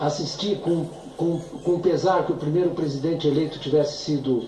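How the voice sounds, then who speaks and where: A man with a high pitch talks at a moderate pace, with audible room echo and noticeable background noise. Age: 70s. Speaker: economist witness. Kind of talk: testimony. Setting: impeachment trial hearing. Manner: halting.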